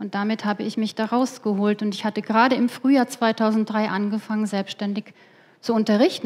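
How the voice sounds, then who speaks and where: Her pitch is fairly high and her voice somewhat breathy. The woman talks at a fairly quick pace with fairly even intonation. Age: 50s. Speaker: conference speaker, business economist; conference speaker. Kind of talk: lecture. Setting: stage with audience. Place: hall. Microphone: headset.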